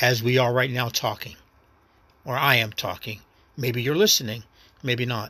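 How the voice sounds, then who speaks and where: In a very clean recording with a silent background, a man with an American accent speaks at medium pitch and a moderate pace, his tone bright and sharp, his intonation fairly even, and his pauses long and frequent. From New York City. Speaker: actor and first-time podcaster. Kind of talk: casual solo monologue. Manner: rambling, reflective, halting.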